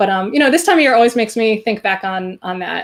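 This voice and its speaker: Talking at a very fast pace, a woman has a slight New Jersey accent. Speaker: songwriter duo member and show host. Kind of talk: casual chat on live stream.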